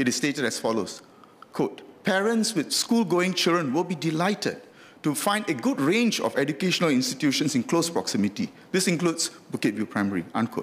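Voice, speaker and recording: The speaker has a Singaporean accent and very wide pitch swings. Loudness stays very even throughout. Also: man, high pitch for a man, fairly quick pace. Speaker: member of parliament. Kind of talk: parliamentary speech, formal oratory. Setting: parliament chamber. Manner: formal, measured, lawyerly; earnest, mildly anecdotal with dry humour. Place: hall. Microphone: podium.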